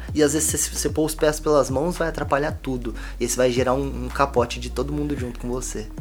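With music in the background and audible room echo, a man speaks at a very fast pace. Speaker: podcast co-host, clothing brand owner. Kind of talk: casual chat. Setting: home studio room.

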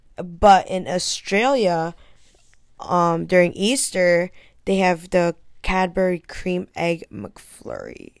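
Speaking at a very slow pace, a woman uses a medium pitch. Her pitch variation is ordinary. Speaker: podcast co-host. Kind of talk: casual chat.

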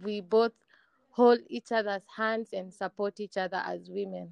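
A woman at a fairly slow pace, monotone and flat. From rural Kenya. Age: young. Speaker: podcast host. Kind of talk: casual interview.

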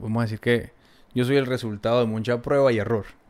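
In a flat, monotone delivery, a man talks at a medium pitch. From Colombia, Valle del Cauca. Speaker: guest sharing life story. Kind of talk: interview. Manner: halting, repeated words.

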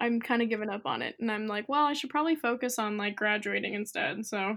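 A woman's plain, everyday voice, fairly high in pitch, in a very clean recording with a silent background. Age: 20s. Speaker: photographer and college student. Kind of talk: casual chat.

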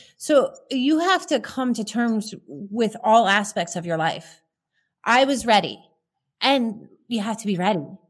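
Her intonation lively, a woman speaks at a fairly high pitch in a very clean recording with a silent background. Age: 30s. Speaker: real estate agent, recovering alcoholic. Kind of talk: interview testimony.

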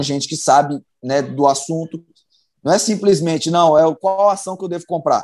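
In a very clean recording with a silent background, a man with an ordinary speaking voice talks at a moderate pace, with a fairly high pitch and ordinary pitch variation. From Brazil, Belo Horizonte (Minas Gerais). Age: 30s. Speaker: professional footballer. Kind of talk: interview, casual chat.

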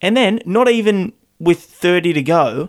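With an Australian accent, a male voice is heard talking. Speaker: sports podcast co-host. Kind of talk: casual chat.

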